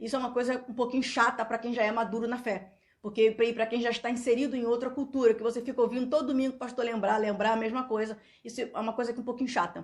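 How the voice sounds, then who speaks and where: A woman speaks very fast with a Brazilian accent. Her fairly high voice holds a monotone, flat intonation. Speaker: YouTuber. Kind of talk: vlog monologue. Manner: loud; halting.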